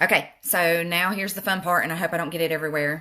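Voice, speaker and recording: A woman speaks at a fairly quick pace with a Southern US accent and ordinary pitch variation. The recording is very clean, with a silent background. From US South. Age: middle-aged. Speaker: makeup vlogger. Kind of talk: makeup tutorial with live chat. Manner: casual, chatty.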